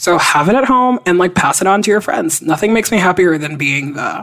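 A woman's animated, lively-intoned voice at a fairly quick pace. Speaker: podcast co-host. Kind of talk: casual chat.

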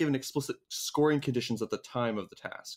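This man has a normal speaking voice, fairly high in pitch with ordinary pitch variation, in a very clean recording with a silent background. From Canada. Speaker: podcast co-host. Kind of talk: casual chat.

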